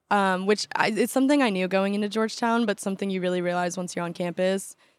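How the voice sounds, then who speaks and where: A woman's ordinary speaking voice with an American accent and fairly even intonation, on a very clean recording with a silent background. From Southern California, Orange County. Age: 20s. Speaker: college student. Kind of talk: casual interview.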